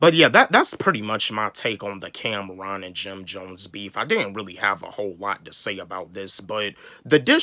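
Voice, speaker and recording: On a very clean recording with a silent background, a man with an American accent speaks at a fairly low pitch in a bright, sharp tone with ordinary pitch variation. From North Carolina, US South. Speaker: YouTuber, hip hop commentator. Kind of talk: casual vlog commentary. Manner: halting, many repeated words and fillers.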